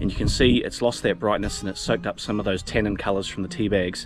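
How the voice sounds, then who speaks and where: Talking at a very fast pace, a man with a fairly low pitch sounds dry with no echo while clear music plays in the background. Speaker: outdoors how-to host. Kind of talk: tutorial. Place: open country. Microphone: phone near.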